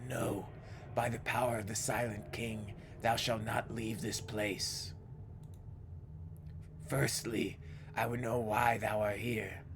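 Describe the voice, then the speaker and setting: Over loud background noise, a man uses a booming, resonant character voice at a medium pitch, moving at a fairly slow pace with long, frequent pauses. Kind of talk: archaic formal speech. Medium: game stream. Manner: solemn, stern.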